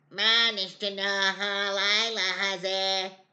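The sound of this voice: A squeaky, put-on character voice, female-sounding and medium in pitch, with monotone, flat intonation at a very slow pace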